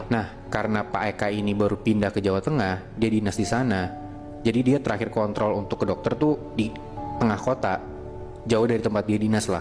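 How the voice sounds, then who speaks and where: A man speaks at a fairly quick pace with ordinary pitch variation and a fairly low pitch. Music plays in the background. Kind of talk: horror story told in casual podcast chat. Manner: casual, conversational.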